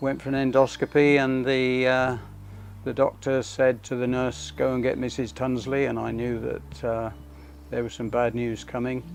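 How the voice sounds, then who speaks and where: Speaking at a moderate pace, a man has a medium pitch, ordinary pitch variation and a plain, everyday voice. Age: 60s. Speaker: cancer survivor. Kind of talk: testimony.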